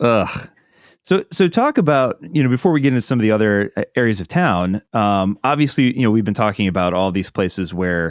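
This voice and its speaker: A man with a Midwestern American accent speaks at a fairly quick pace with lively intonation. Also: medium pitch for a man. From Ohio. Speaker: podcast host. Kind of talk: interview.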